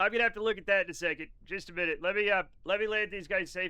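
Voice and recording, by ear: Natural-voiced reading aloud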